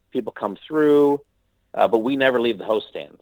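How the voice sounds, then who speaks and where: A man talks at a fairly quick pace with a Midwestern American accent. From US Midwest (Missouri, Nebraska). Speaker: actor and comedian. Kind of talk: casual interview chat.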